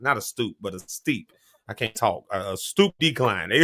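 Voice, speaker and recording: A man talks with a slight Southern US accent at a moderate pace. His medium-pitched voice has a bright, sharp tone, dry and close with no echo. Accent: slight Southern US country. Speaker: talk show host. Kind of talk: live show discussion. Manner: halting, repeats words.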